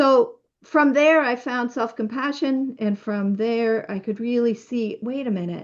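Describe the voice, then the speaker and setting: Against a quiet background, a woman with a normal speaking voice talks at a fairly slow pace in a fairly high pitch with lively intonation. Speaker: physician and author speaking on self-care. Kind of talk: online workshop talk.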